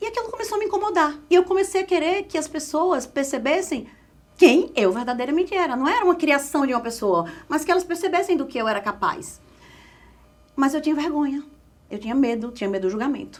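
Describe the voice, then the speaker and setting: A woman speaks in a northeastern Brazilian accent. Her high voice makes very wide pitch swings. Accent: Northeastern Brazilian, drawling. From Northeast Brazil, Caruaru, Pernambuco. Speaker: pharmaceutical sales specialist and communication coach. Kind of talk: podcast interview.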